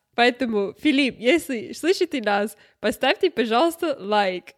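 In a non-native accent, a woman speaks at a very slow pace with a high pitch and lively intonation. The sound is dry and close, with no echo. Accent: non-native Russian. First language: not Russian (learned Russian at university) (speaking Russian). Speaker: podcast co-host. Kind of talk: casual chat.

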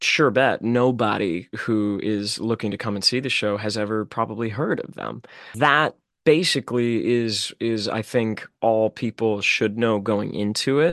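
Recorded dry and close with no echo and a quiet background, a man with an American accent talks fairly slowly at a medium pitch. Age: 20s. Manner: animated.

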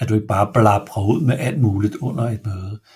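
A somewhat breathy man at a medium pitch, with ordinary pitch variation and a fairly slow pace. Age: 50s. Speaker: enneagram expert and business owner. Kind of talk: podcast interview. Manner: halting, many hesitations.

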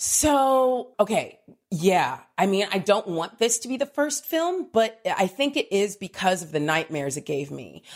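A woman at medium pitch with a West Coast accent, fairly slow with hardly any pauses, very wide pitch swings and big swings in loudness, on a very clean recording with a silent background. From Southern California (Diamond Bar). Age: 40s. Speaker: comedian and writer. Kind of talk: casual chat. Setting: on holiday.

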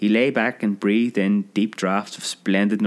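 Here a passage gets plain reading aloud.

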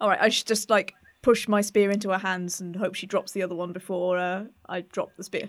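A woman talks at a fairly quick pace and medium pitch. Her intonation is monotone and flat. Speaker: roleplay game player. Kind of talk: casual tabletop roleplay.

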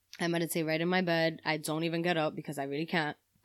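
A woman speaks with a New York accent in a fairly low pitch. The recording is very clean, with a silent background. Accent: New York City. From New York City, Spanish Harlem. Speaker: podcast guest, friend of host. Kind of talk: casual chat.

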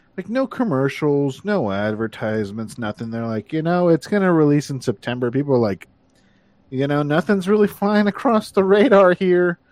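A man talks at a moderate pace, his pitch swinging very widely. The background is quiet. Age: 30s. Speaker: gaming podcast co-host. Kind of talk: casual chat.

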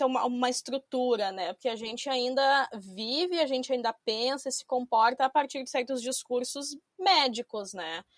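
A woman speaks at a high pitch and a fairly slow pace, with ordinary pitch variation, in a very clean recording with a silent background. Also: dry, close sound with no echo. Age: 20s. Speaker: academic researcher. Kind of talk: interview. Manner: hesitant, many fillers.

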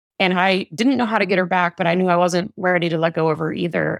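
A woman's fairly low voice with vocal fry and ordinary pitch variation, dry and close with no echo, on a very clean recording with a silent background. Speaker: parenting and relationship coach. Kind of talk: podcast interview.

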